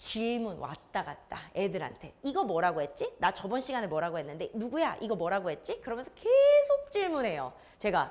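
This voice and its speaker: A woman talks at a moderate pace. She barely pauses at all. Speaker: science academy teacher. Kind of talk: information session talk to parents.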